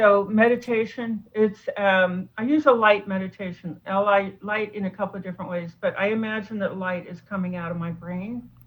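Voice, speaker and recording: With hardly any pauses and fairly even intonation, the somewhat breathy voice swings widely in loudness. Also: woman, medium pitch for a woman, moderate pace. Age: 60s. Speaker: doctor and food addiction author. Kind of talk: interview.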